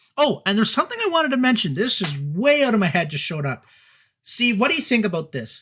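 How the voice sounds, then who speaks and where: In a raised, projected voice with a bright, sharp tone, a man talks at a fairly quick pace with very wide pitch swings, recorded very cleanly against a silent background. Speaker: talk show co-host. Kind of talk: live stream talk show. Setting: live stream. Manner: fast.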